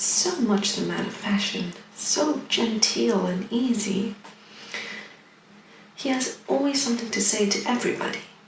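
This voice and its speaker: Soft-spoken and in a relaxed tone, the voice moves at a moderate pace over noticeable background noise. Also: woman. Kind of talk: soft-spoken audiobook-style reading of a classic novel. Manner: soft-spoken, relaxed.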